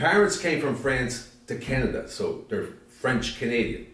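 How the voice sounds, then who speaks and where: With an American accent, a man speaks at a fairly slow pace amid noticeable background noise and audible room echo. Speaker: interviewee. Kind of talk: interview.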